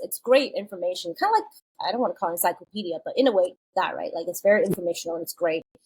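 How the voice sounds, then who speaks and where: Speaking at a very fast pace, a woman talks at a medium pitch. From China, moved to US at eleven. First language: Mandarin Chinese. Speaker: children's book author. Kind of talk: podcast interview. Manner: casual, with many fillers.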